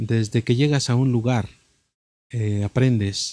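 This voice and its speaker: A man's dark, mellow voice at medium pitch, fairly even intonation and a moderate pace, with dry, close sound and no echo. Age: 50s. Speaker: musician. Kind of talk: interview.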